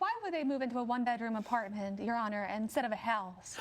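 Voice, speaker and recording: A female-sounding, put-on character voice comes across as robotic, fairly high-pitched and very fast. Light background noise sits behind it. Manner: flat, robotic, monotone.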